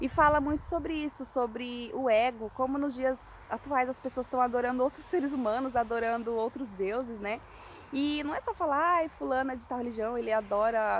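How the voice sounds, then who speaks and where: A high-pitched woman at a fairly quick pace, with ordinary pitch variation and hardly any pauses. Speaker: evangelist. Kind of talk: informal sermon. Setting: outdoors. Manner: fast.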